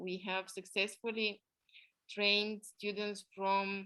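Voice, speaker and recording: With a non-native accent, a woman speaks at a medium pitch in a bright, sharp tone. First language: not English. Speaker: art therapy instructor and coach. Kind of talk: online class presentation. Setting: online video class with screen share. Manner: hesitant with fillers.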